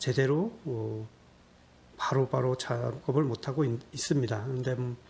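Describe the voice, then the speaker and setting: A man speaks at medium pitch. His voice is somewhat breathy, with fairly even intonation. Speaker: YouTuber solving sudoku puzzles. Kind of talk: casual Q&A monologue. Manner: hesitant, many fillers.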